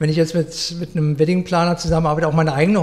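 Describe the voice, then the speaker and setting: With a high pitch and fairly even intonation, a man speaks. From Berlin, Germany. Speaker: florist. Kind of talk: interview. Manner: hesitant, many fillers.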